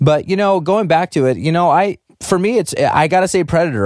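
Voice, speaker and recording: Speaking at a fairly quick pace, a man uses a plain, everyday voice with a fairly high pitch and lively intonation. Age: 30s. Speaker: podcast host. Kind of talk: casual chat.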